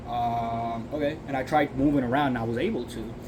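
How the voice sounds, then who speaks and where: A man talks in a medium pitch, his intonation fairly even, with noticeable background noise and audible room echo in the recording. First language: Chinese and Uyghur. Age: 20s. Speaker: vlogger, food truck worker. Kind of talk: casual vlog monologue. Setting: in a food truck. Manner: hesitant, many fillers. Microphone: earbud mic, maybe poor audio.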